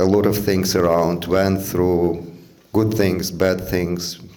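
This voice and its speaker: Amid audible room echo, a man with a non-native accent speaks in a very deep, low pitch with monotone, flat intonation. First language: not English. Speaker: father of the groom. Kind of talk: wedding speech. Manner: halting, many fillers.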